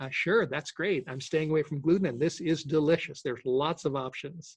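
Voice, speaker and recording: A somewhat breathy man with a fairly high pitch speaks at a fairly quick pace with ordinary pitch variation. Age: 60s. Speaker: sprouting instructor. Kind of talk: Q&A session. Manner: halting.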